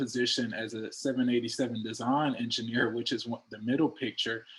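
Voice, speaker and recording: A man speaks at a medium pitch. He goes at a very fast pace with hardly any pauses. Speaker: engineer. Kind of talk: panel talk. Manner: casual, many filler words.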